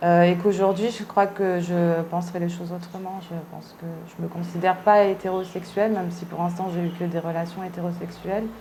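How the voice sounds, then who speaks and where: Fairly quick, fairly low-pitched speech from a woman, monotone and flat, with hardly any pauses and big swings in loudness, plus audible room echo and noticeable background noise. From Réunion, raised from early childhood after Paris suburbs. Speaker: artist interviewee. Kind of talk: interview testimony. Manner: halting, many hesitations.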